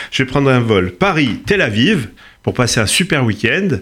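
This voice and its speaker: This man's voice sits at a medium pitch. It swings very widely up and down. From Corsica. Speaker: tech company founder. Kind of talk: interview.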